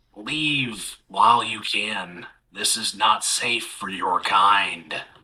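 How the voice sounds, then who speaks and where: Putting on a gravelly character voice, a man speaks very slowly at a medium pitch with ordinary pitch variation. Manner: whispering.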